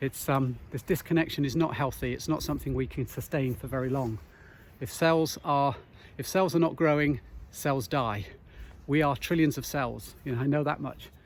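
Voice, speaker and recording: This man has a normal speaking voice with fairly high pitch. He moves at a moderate pace with ordinary pitch variation. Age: 50s. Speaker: nature connection guide and wellbeing author. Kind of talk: walking vlog monologue. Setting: outdoors. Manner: reflective, with many fillers.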